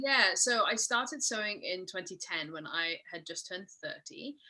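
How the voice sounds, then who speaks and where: Bright and sharp in tone, a woman with a slight Mid-Atlantic accent speaks at a moderate pace with lively intonation. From Scotland. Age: 40s. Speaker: sewing pattern business owner. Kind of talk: podcast interview.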